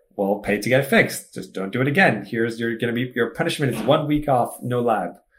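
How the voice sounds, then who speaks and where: A man at a medium pitch and a very fast pace. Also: ordinary pitch variation. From Egypt. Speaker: tech startup founder. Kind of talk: casual interview chat.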